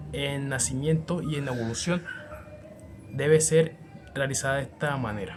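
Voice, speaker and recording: A man's fairly high voice with a Colombian coastal accent, at a moderate pace, with music in the background. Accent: Colombian coastal (costeño). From Colombian Caribbean coast. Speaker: university student. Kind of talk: class assignment video presentation.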